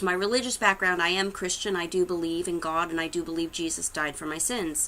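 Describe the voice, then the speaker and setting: A woman speaks with an American accent. Her medium-pitched voice has a bright, sharp tone. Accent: Boston accent, slight, comes out sometimes. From Massachusetts, Haverhill (Boston area). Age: 30s. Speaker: psychic medium and YouTuber. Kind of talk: casual vlog introduction. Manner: hesitant, many fillers.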